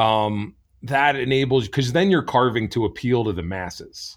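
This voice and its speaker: A man with an American accent and an ordinary speaking voice, medium in pitch, at a fairly slow pace. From New Jersey. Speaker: chainsaw carver and event organizer. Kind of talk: interview. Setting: remote call.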